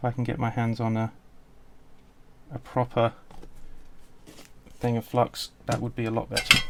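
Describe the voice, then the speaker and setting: In a British accent, a man speaks at a medium pitch with monotone, flat intonation. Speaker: electronics hobbyist maker. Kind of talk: unscripted build log talk to camera. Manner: stuttering, hesitant.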